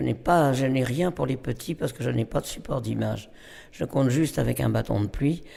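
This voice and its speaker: This man has a medium pitch and a dark, mellow tone with vocal fry. He moves at a moderate pace with ordinary pitch variation. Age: 80s+. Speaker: storyteller. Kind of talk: interview. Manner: halting.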